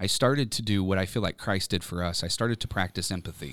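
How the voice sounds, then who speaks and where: A man with a fairly low pitch and ordinary pitch variation speaks in a plain, everyday voice, recorded very cleanly with a silent background and a dry, close sound with no echo. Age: 30s. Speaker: professor and author. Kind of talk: interview testimony. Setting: recording studio.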